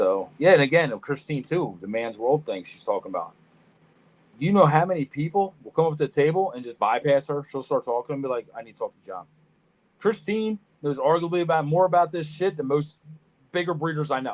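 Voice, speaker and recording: The speaker talks with a Philadelphia accent at a fairly quick pace, with lively intonation and big swings in loudness. Long, frequent pauses break up the speech, and the sound is dry and close with no echo. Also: man. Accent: Philadelphia-area. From US Northeast, Norristown, Pennsylvania. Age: 40s. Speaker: reptile breeder. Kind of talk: casual chat. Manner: choppy, searching for words.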